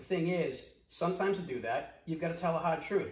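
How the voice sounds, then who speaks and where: A man speaks at a very fast pace with an American accent. The room's echo is audible. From US Northeast, Boston. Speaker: video commentator, business owner. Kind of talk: commentary vlog. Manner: fast, direct; animated.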